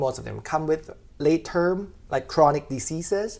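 A man with a Thai accent at fairly high pitch, moderate pace and ordinary pitch variation, on a very clean recording with a silent background. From Thailand. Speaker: veterinary pathologist and PhD student. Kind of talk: interview. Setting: conference venue.

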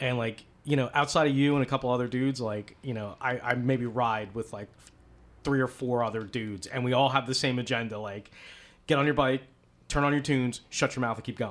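On a very clean recording with a silent background, a man with an American accent talks at a fairly quick pace in a medium pitch. He has a normal speaking voice with fairly even intonation. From US East Coast. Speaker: motorcycle podcast host. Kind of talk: casual chat. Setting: home recording.

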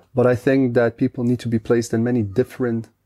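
Against a quiet background, a man with a Dutch accent speaks at a moderate pace and medium pitch, his dark, mellow tone and monotone, flat intonation caught in a dry, close sound with no echo. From Netherlands. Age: 30s. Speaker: podcaster and guest. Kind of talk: casual interview chat.

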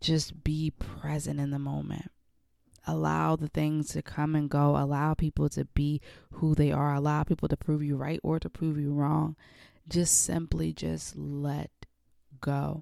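Recorded very cleanly with a silent background and a dry, close sound with no echo, a woman speaks at a fairly slow pace. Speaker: podcast host. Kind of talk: solo podcast monologue. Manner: slow talker; conversational, reflective.

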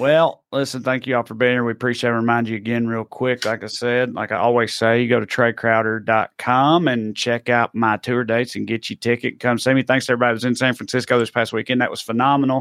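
A man with a Southern US accent talks very fast at a medium pitch, with hardly any pauses. His intonation is monotone and flat. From Tennessee. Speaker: podcast host. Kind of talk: casual political chat.

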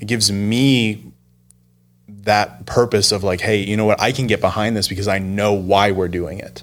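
On a very clean recording with a silent background, a man talks at a moderate pace in a fairly low voice with fairly even intonation. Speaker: church video producer and podcast host. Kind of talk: casual chat. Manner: formal when on camera.

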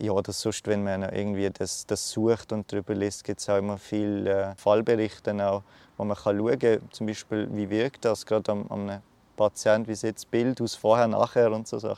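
With monotone, flat intonation, a man talks in a dark, mellow tone. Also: fairly low pitch for a man, moderate pace. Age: 20s. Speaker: cancer patient. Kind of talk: interview. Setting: outdoors. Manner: halting.

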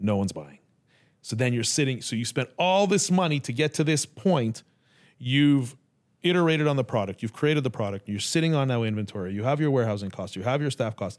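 Using a normal speaking voice, a man talks fairly quickly at a medium pitch with lively intonation, recorded very cleanly against a silent background. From Canada. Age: 50s. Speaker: podcast host. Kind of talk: interview.

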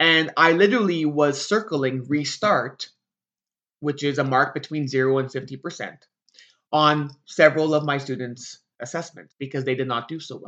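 This is a man with a normal speaking voice. His pitch sits fairly high. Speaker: teacher and podcast host. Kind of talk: solo podcast monologue.

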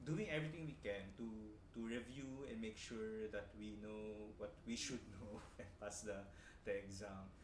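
This man speaks with a Filipino accent. Background noise is noticeable. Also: fairly low pitch for a man, ordinary pitch variation, fairly slow pace. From Philippines. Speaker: nurse and health researcher. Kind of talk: interview, casual chat.

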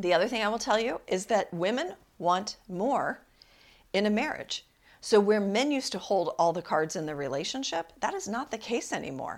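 Animated in tone, a woman speaks at a moderate pace and a medium pitch with lively intonation. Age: 50s. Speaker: relationship coach and podcast host. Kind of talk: casual monologue.

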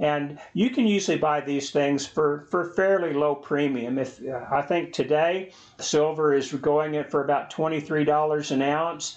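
A man with an ordinary speaking voice, fairly high in pitch, at a fairly slow pace with hardly any pauses and fairly even intonation. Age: 60s. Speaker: personal finance video host. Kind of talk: tutorial.

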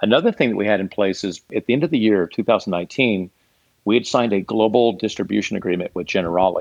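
At a very fast pace, a man talks in a fairly low voice with ordinary pitch variation. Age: 50s. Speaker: startup CEO. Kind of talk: interview.

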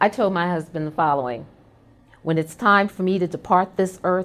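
Using a normal speaking voice, a woman talks at a fairly low pitch and moderate pace with ordinary pitch variation. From New York City, Brooklyn. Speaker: corporate executive hosting internal podcast. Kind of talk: personal monologue. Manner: warm, conversational.

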